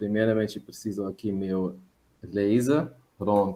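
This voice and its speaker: A man is speaking. His pace is very slow. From Germany. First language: German (speaking Portuguese). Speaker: visiting professor, marine biogeochemist. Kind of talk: webinar lecture. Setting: online webinar. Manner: hesitant, many fillers.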